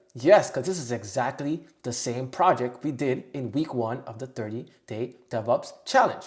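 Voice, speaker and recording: Speaking in an animated tone, a man uses a medium pitch and ordinary pitch variation. His moderate pace has hardly any pauses, and his loudness swings widely. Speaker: tech tutorial youtuber. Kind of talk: tutorial.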